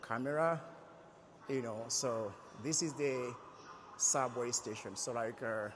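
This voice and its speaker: Against audible room echo, a man speaks fairly slowly at a medium pitch, with fairly even intonation and long, frequent pauses. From Republic of Congo. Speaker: vlogger. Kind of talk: travel vlog tutorial. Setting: metro station, walking. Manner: hesitant, many fillers.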